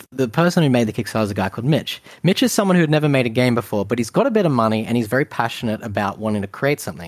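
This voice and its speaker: Speaking at a very fast pace with hardly any pauses, a man uses lively intonation at a medium pitch. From Australia. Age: 30s. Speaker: video game designer. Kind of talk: casual chat. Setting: video call.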